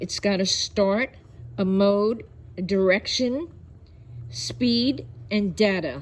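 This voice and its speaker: In a New York accent, a woman speaks very slowly at a medium pitch, somewhat breathy, with very wide pitch swings and long, frequent pauses. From New York City. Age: 70s. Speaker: online video host. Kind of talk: product review.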